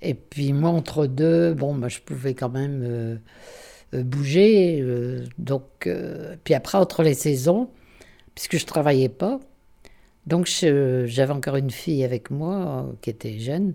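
This woman speaks very slowly in a very deep, low voice with a dark, mellow tone and ordinary pitch variation. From northern France, Armentières. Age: 90s. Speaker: retired holiday home director. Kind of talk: interview, life memories. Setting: retirement home. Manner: halting.

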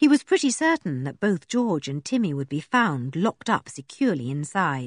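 A speaker is reading aloud in a natural voice.

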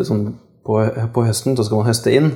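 His tone dark and mellow, a man speaks at a medium pitch with monotone, flat intonation. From Kongsberg, Norway. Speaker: podcast host. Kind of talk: interview.

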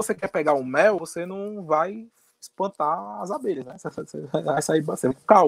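Dry and close with no echo, a man speaks at a fairly quick pace with high pitch and lively intonation. His loudness swings widely. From Northeast Brazil. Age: 30s. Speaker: political commentator. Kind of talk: podcast interview.

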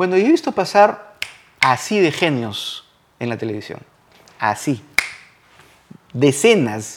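With lively intonation, a man talks at a fairly slow pace. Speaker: television screenwriter. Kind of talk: interview.

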